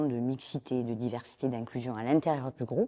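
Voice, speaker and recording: The sound is dry and close, with no echo, in a very clean recording with a silent background. A woman speaks in a dark, mellow tone. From southern France, Toulouse (Occitanie). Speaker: media engagement director. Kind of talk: interview conversation. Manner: hesitant, many fillers.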